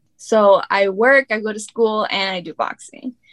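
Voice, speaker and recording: In an American accent, a woman speaks fairly slowly at a fairly high pitch with ordinary pitch variation. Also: dry, close sound with no echo. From California, Riverside. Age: 20s. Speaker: amateur boxer. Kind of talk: interview. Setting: remote call.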